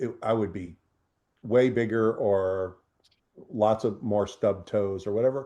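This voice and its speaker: A man speaks in a dark, mellow tone at a fairly low pitch. His pace is fairly slow, with ordinary pitch variation. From New Jersey. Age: 60s. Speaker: real estate investor. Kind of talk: casual interview conversation. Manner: halting, many fillers and restarts.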